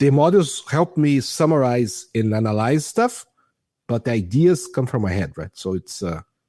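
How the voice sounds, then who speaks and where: A man with a Portuguese accent speaks in a dark, mellow tone at a moderate pace with very wide pitch swings, the sound dry and close with no echo and the recording very clean against a silent background. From Brazil. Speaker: AI product manager. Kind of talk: podcast interview. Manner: halting, many false starts; enthusiastic.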